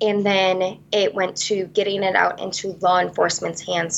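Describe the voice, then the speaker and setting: With an Upper Midwest accent, a woman talks at a moderate pace. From central Wisconsin, Vesper. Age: 20s. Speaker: beauty pageant titleholder. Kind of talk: interview.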